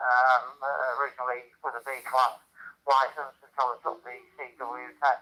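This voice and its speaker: The voice has a bright, sharp tone and a monotone, flat intonation, moving at a fairly slow pace. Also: man. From England, Lincolnshire. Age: 80s+. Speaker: amateur radio operator. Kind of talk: radio net check-in. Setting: radio transmission via hotspot. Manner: halting, many fillers.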